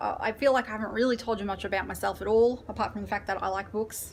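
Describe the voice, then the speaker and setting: A woman's fairly high voice with an Australian accent, a very fast pace, ordinary pitch variation, and noticeable background noise. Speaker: book vlogger. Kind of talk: casual chat. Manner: hesitant, filler-heavy.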